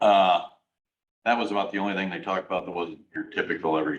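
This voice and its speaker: Speaking at a very fast pace, a man with a Midwestern US accent has a very deep, low pitch. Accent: US Midwest. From Iowa, Fort Dodge. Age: 60s. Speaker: county supervisor. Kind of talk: public meeting discussion. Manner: hesitant, with many fillers.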